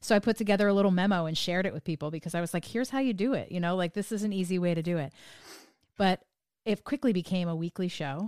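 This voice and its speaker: Recorded very cleanly against a silent background, a woman with an American accent talks at a very fast pace. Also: medium pitch for a woman, ordinary pitch variation. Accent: sanitized New Jersey, slight. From New Jersey. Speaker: podcast host. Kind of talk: interview conversation, casual.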